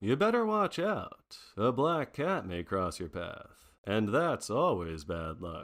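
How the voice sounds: Using a put-on character voice, a man talks slowly at a fairly low pitch with big pitch swings and a fairly bright tone, in a very clean recording with a silent background.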